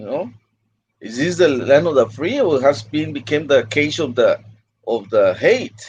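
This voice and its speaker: Speaking with a Spanish accent, a man uses a fairly high pitch and lively intonation. His pace is fairly slow, and his loudness swings a lot. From Mexico (Mexicali), partly California. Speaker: migrant rights activist. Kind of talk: livestream interview. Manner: halting, with frequent repetitions.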